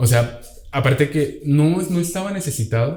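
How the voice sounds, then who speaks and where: The man's voice shows ordinary pitch variation. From Venezuela. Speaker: podcast guest. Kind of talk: casual chat.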